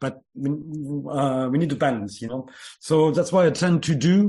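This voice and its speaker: With a French accent, a man at a fairly high pitch speaks at a fairly slow pace, using lively intonation and a dark, mellow tone against a quiet background. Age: 40s. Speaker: music producer. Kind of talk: interview. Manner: halting.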